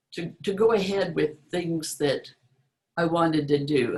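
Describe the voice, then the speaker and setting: With an American accent, a woman talks in a very deep, low pitch and fairly even intonation. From Utah. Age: 80s+. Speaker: author and book marketing speaker. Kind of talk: presentation talk. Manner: halting, many repetitions and fillers.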